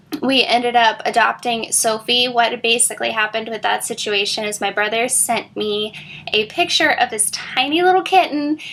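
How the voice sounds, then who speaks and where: A woman's fairly high voice with an American accent, lively intonation and a moderate pace. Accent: Southern Iowa, shows when tongue-tied. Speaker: vlogger. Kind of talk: casual chat. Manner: chatty, with many fillers.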